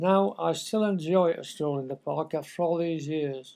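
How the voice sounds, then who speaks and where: In a Lancashire accent, a man speaks at a moderate pace with a dark, mellow tone and a fairly high pitch that shows ordinary variation. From northern England. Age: 80s+. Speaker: local resident. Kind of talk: reading aloud.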